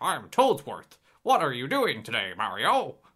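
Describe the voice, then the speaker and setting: A man in a put-on character voice, cheerful in tone and high-pitched. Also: moderate pace. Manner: cheerful, silly.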